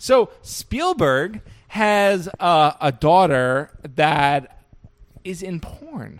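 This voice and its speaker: At a very slow pace, a man with a high voice talks with lively intonation and big swings in loudness. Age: 20s. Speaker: podcast host. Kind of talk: casual chat.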